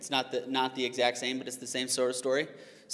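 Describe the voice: What you hear is plain reading aloud.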